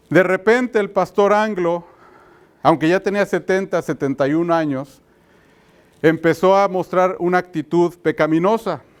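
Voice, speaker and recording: Fairly slow in pace, a man talks with a high pitch and ordinary pitch variation. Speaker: pastor. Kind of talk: sermon. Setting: church conference with audience. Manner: hesitant, many fillers.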